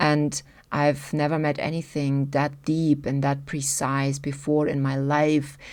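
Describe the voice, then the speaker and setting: In a non-native accent, a woman speaks fairly slowly in a very deep, low voice. The recording is very clean, with a silent background. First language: German. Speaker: human design teacher. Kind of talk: video talk to camera.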